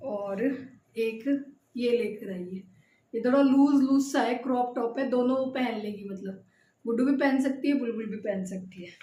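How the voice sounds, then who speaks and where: In a room with audible echo, a woman speaks at a high pitch in a dark, mellow tone, with ordinary pitch variation and big swings in loudness. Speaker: vlogger, homemaker. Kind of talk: casual vlog talk.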